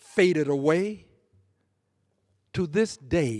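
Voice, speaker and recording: A man with an American accent and a high pitch, at a very slow pace with very wide pitch swings. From US South. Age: 70s. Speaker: congressman. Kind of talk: floor speech. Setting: legislative chamber. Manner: formal.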